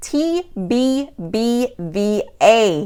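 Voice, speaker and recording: A woman with a Southern US accent and a fairly high pitch, very wide pitch swings, on a very clean recording with a silent background. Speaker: podcast host, virtual assistant business coach. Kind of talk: solo podcast monologue. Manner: casual, conversational.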